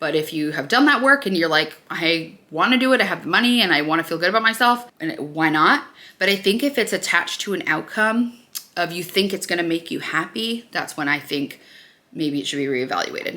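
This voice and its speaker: An American accent marks this woman's fairly low voice, which has a bright, sharp tone and very wide pitch swings. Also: fairly quick pace. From Nebraska, US Midwest. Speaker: beauty vlogger. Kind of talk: casual get-ready-with-me vlog. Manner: chatty, filler-heavy.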